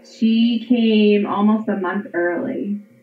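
Noticeable background noise sits behind a woman with an American accent who speaks at a medium pitch with ordinary pitch variation. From Pennsylvania. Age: 30s. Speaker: stay-at-home mother and online teacher. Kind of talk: personal storytelling interview.

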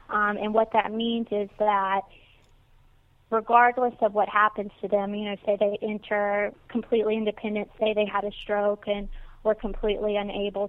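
Someone with a Mississippi accent speaks at a moderate pace with monotone, flat intonation. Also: woman. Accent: Southern US (Mississippi). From US South, Natchez, Mississippi. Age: 20s. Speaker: senior living administrator. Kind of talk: interview.

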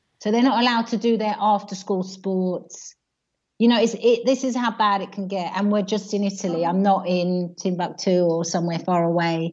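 The speaker is a woman with a medium pitch. She talks at a fairly quick pace. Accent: British. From UK. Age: 50s. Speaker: primary school teacher. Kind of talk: radio phone-in call. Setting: phone call.

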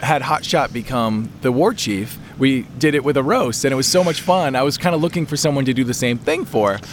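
Over noticeable background noise, a man talks at a fairly quick pace. His voice is fairly high, with lively intonation. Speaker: podcast host. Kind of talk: casual chat. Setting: outdoors.

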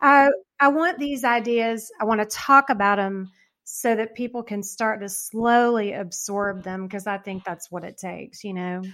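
A woman's normal speaking voice at a fairly high pitch, moderate pace and ordinary pitch variation. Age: 50s. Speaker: author and registered dietitian. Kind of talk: interview. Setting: video call.

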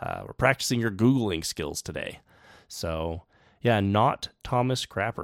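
A man with a plain, everyday voice speaks at a fairly slow pace with lively intonation. The recording is very clean with a silent background and sounds dry and close, with no echo. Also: fairly low pitch for a man. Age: 30s. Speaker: science podcast host. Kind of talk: casual chat. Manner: frequent filler words.

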